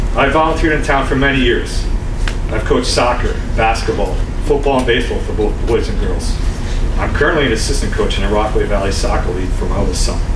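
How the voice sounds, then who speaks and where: Talking very fast with an American accent, a man is heard over noticeable background noise. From New Jersey. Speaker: town councilman running for mayor. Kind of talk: campaign speech. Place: hall. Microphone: podium.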